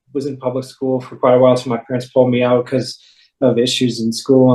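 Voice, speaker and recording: An American accent, a medium pitch and monotone, flat intonation mark this man's very fast speech. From US Southwest, Phoenix, Arizona. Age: 30s. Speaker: recovered addict giving religious testimony. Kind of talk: testimony. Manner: halting, many fillers and restarts.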